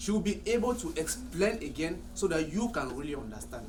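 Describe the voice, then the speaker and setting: Audible room echo and noticeable background noise surround the recording. A man talks at a moderate pace. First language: French. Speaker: salon owner. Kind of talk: staff meeting discussion.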